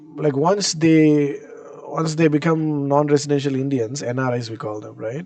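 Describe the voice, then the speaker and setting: There's noticeable background noise as a man talks with a fairly high pitch and ordinary pitch variation. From South India. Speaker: live streamer. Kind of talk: live stream reaction commentary. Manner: halting, many repetitions and fillers.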